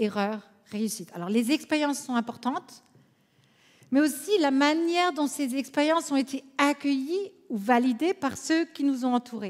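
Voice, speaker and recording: Lively intonation at a fairly slow pace, in an Alsatian accent. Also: woman, high pitch for a woman. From France, Alsace. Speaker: conference speaker, counselor. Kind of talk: conference talk.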